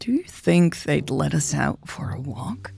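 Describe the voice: Over faint music in the background, a woman does a put-on character voice, low in pitch and breathy with vocal fry, a dark, mellow tone and big pitch swings. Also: fairly slow pace.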